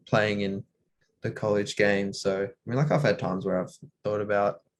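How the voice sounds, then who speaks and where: This is a man with an Australian accent. His voice sits fairly low. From Australia (Tasmania). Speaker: college basketball player. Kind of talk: interview. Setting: video call.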